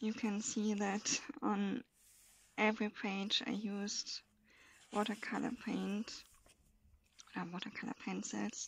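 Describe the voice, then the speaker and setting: With vocal fry and a fairly high pitch, a woman speaks in monotone, flat intonation. Her pace is very slow, broken by long, frequent pauses. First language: German. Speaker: coloring hobbyist video creator. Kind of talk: casual show-and-tell. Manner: halting, with many fillers.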